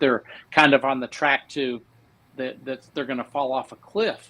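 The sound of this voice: This man speaks in an American accent with fairly even intonation. His tone is bright and sharp. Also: medium pitch for a man, moderate pace.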